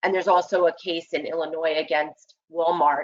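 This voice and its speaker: Speaking with a normal speaking voice, a woman keeps a moderate pace and a fairly low pitch. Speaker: employment lawyer. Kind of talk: webinar presentation. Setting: online webinar.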